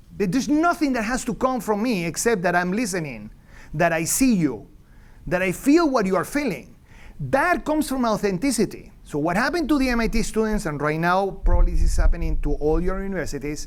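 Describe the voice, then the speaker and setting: A man with a Venezuelan accent talks at a fairly quick pace in a high voice with very wide pitch swings. Audible room echo is present. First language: Spanish. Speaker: economics professor. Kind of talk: lecture. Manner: halting, many fillers and restarts; animated.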